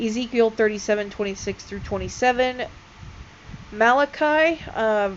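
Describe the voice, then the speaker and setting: A woman talks in a fairly high pitch with ordinary pitch variation. Noticeable background noise runs behind her. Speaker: religion video creator. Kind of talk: casual explainer video. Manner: loud; hesitant, many fillers.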